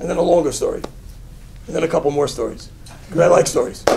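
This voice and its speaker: This man has an American accent. Noticeable background noise sits behind his voice. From US Northeast, Brooklyn, New York. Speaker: rabbi. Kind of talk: inspirational talk with storytelling.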